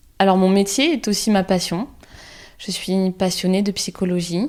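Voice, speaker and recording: A woman speaks in a dark, mellow tone at a medium pitch. Her pace is fairly slow. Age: 30s. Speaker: psychologist, podcast host. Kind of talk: podcast monologue.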